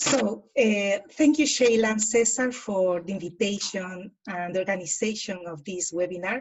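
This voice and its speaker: A woman with a Spanish accent talks at a moderate pace with hardly any pauses. Her loudness swings widely. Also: medium pitch for a woman, ordinary pitch variation. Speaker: academic speaker. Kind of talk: academic presentation.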